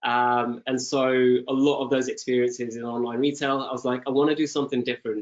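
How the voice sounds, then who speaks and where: A man with a British accent speaks at a medium pitch in monotone, flat intonation. He keeps a fairly quick pace with hardly any pauses. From UK. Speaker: e-commerce product lead. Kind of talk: webinar panel interview.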